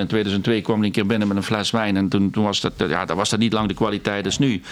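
Fairly low male voice amid noticeable background noise. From Netherlands, South Limburg (Valkenburg aan de Geul). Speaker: restaurant host and wine expert. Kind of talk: casual interview.

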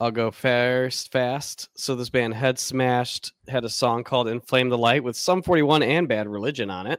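A man has an unremarkable speaking voice, medium in pitch with ordinary variation. He goes at a moderate pace, and the sound is dry and close with no echo. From Michigan. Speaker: podcast host. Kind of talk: casual chat.

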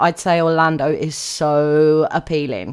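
A woman speaks with a British accent. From UK. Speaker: podcast host. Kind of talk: solo podcast talk.

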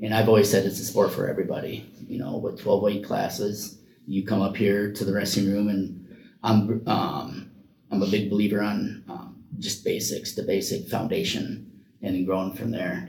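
The voice has an American accent and is somewhat breathy, with fairly even intonation. It moves at a moderate pace, with audible room echo. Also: man, fairly low pitch for a man. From Iowa. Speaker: wrestling coach and special education paraprofessional. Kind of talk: interview. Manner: halting.

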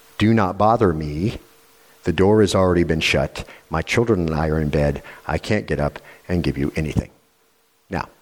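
Using a put-on character voice, a man rumbles at a very deep, low pitch with ordinary pitch variation. He keeps a moderate pace, broken by long, frequent pauses. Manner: sleepy, grumbling.

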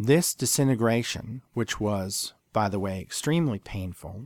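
In a very clean recording with a silent background and a dry, close sound with no echo, a plain, everyday voice speaks at a fairly slow pace with lively intonation. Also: man. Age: 40s. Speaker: podcast host. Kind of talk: solo podcast monologue.

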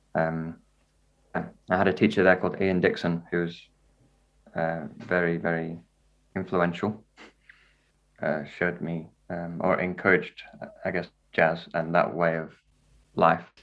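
With a northern English accent, a man speaks at a fairly slow pace with long, frequent pauses, a very deep, low pitch, and monotone, flat intonation. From northern England (Wakefield, Yorkshire). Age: young. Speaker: jazz violinist and composer. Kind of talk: casual interview chat.

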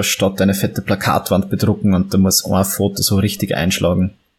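With a Viennese accent, a man talks fairly quickly in a fairly low, somewhat breathy voice and a monotone, flat intonation. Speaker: photographer and historical fencer. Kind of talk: interview.

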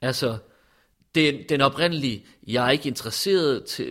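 A man speaks at a fairly slow pace in a medium pitch, with ordinary pitch variation. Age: 40s. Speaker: interviewee. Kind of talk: personal testimony. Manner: halting.

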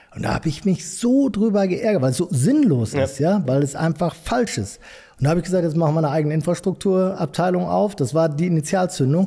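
A very fast delivery at a very even loudness, with lively intonation and a dark, mellow tone. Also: man, high pitch for a man. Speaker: entrepreneur, construction company owner. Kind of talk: interview.

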